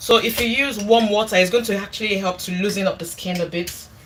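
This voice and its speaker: A woman's fairly high voice against noticeable background noise. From Nigeria. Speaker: cooking YouTuber. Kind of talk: casual livestream cooking chat.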